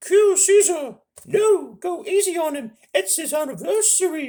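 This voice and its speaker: A man performs a squeaky, put-on character voice at an extremely high pitch. He speaks at a fairly slow pace. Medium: solo performance.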